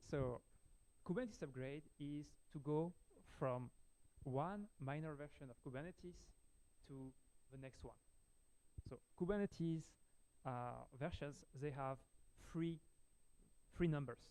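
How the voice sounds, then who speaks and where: With a French accent, a man speaks fairly slowly at a fairly high pitch in a dark, mellow tone. His pauses are long and frequent, and his pitch varies in an ordinary way. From France. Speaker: software engineer, conference speaker. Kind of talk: technical talk. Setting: meetup with audience, livestreamed. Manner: hesitant, many fillers.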